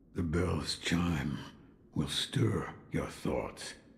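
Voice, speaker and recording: A man puts on a raspy character voice pitched very deep and low. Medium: video game. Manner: slow, hypnotic.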